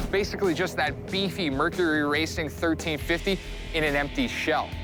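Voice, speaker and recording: Over music in the background and with audible room echo, a man talks at a moderate pace in a fairly high pitch. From Ontario, Canada. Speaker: TV host and news reporter. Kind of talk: broadcast reporting and presenting.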